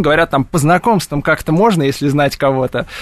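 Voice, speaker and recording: A man speaks at a fairly high pitch in a normal speaking voice with ordinary pitch variation. The sound is dry and close, with no echo. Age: 30s. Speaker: cheese shop owner and cheese expert. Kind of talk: radio interview. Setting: radio studio.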